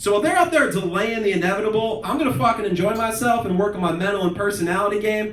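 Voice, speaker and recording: Through noticeable background noise and an audible room echo, a man speaks at a very fast pace. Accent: American. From Philadelphia suburbs, US. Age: 20s. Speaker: stand-up comedian. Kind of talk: stand-up.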